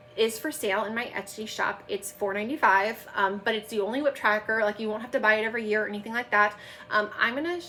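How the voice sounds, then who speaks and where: A woman's put-on character voice, raspy and fairly high, very fast and excited in tone, with light background noise. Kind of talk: casual, promotional. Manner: fast, excited.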